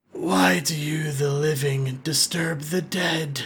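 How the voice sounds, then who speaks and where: In a put-on character voice, the speaker growls raspily at a low-to-middle pitch and a fairly slow pace. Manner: growling, menacing.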